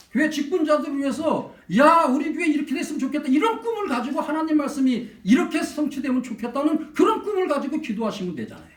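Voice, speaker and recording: Animated and lively in intonation, a man with an extremely high pitch talks at a fairly quick pace amid audible room echo. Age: under 65. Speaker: pastor. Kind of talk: sermon.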